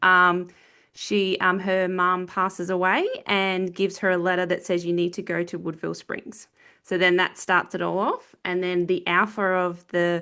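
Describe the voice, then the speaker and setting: At a moderate pace, a woman speaks in a bright, sharp tone at medium pitch over a quiet background. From Australia. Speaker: author. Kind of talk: casual interview chat. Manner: hesitant, many filler ums.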